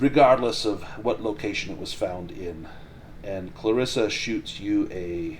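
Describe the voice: A plain read-aloud delivery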